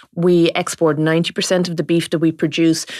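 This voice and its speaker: A woman speaks in an Irish accent at a moderate pace. Her pitch is fairly low, and the recording is very clean with a silent background. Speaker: farming journalist. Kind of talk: radio-style panel discussion.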